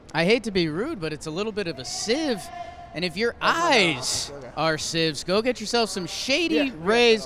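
Excited in tone, a man raises and projects his high-pitched voice, swinging very widely in pitch at a moderate pace over noticeable background noise. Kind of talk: sports commentary. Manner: analytical color-commentator, steady and conversational, with excited jumps.

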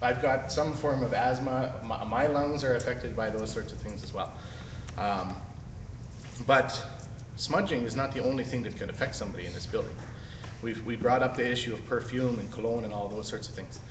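A man speaks at a fairly quick pace with fairly even intonation. Noticeable background noise is present. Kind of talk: public meeting objection. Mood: critical, earnest. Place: hall. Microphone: phone near.

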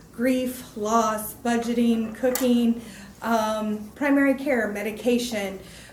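Over noticeable background noise and audible room echo, a woman speaks very slowly at a fairly high pitch in a monotone, flat intonation. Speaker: mental health care manager presenting to county board. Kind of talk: informational presentation at public meeting. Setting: county commissioners meeting room.

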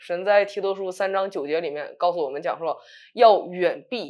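A woman talks at a moderate pace and medium pitch with ordinary pitch variation. The background is quiet. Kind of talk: casual talk show discussion. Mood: earnest, encouraging. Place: studio.

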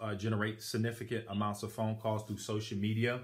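This is a man speaking. His voice is somewhat breathy. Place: home room. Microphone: phone near.

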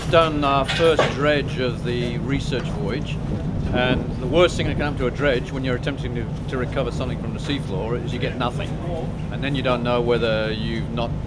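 Loud background noise sits behind a man who speaks at a moderate pace. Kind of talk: interview answer. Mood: satisfied, relaxed. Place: boat. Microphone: phone near.

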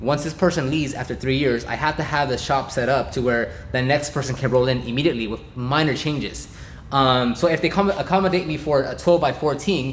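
Over light background noise, a man talks at a fairly quick pace. His pitch varies in an ordinary way. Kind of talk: casual vlog chat. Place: garage.

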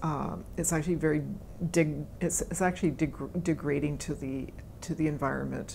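Over light background noise, a woman with a western Canadian accent speaks at a very deep, low pitch with vocal fry and fairly even intonation. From Canada (British Columbia). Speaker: forest ecologist, professor; professor. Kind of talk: interview answers. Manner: hesitant, many fillers and repetitions. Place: meeting room. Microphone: lapel.

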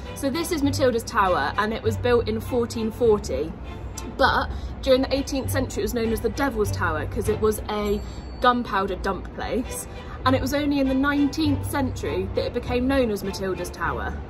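A woman talks at a fairly quick pace with clear music playing in the background. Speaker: travel vlogger. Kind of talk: casual vlog chat. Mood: cheerful, playful. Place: street. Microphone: phone near.

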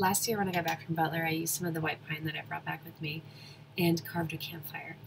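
This woman is soft-spoken, with a very deep, low pitch. Vocal fry runs through her voice. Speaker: chainsaw wood carver. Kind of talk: casual talk to camera.

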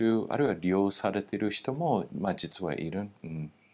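With an English accent, the speaker uses lively intonation at a moderate pace. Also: man. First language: English (speaking Japanese). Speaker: political scientist, former military base official; guest. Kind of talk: interview. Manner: halting, many fillers. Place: studio. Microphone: lapel.

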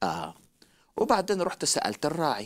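Drawing out his words at a fairly slow pace, a man speaks with vocal fry. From Egypt. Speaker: traveling evangelist preacher; guest teacher on religious show. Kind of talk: religious talk show discussion. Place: studio. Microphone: headset.

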